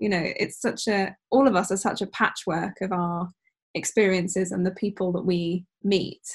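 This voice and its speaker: At a moderate pace, a woman speaks in a somewhat breathy voice with fairly even intonation. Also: medium pitch for a woman. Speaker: podcast host. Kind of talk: casual interview.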